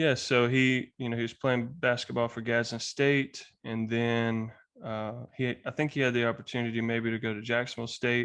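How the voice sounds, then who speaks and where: Monotone, flat intonation runs through speech at a moderate pace in a Southern US accent. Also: man, medium pitch for a man. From US South, Alabama. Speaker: podcast guest. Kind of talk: casual conversation.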